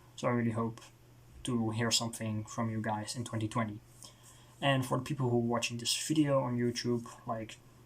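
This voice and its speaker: Speaking with a Dutch accent, a man talks at a fairly quick pace and a medium pitch. His intonation is monotone and flat, broken by long, frequent pauses. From Netherlands. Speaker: music reviewer. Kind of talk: casual video review monologue. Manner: halting, with many fillers and restarts.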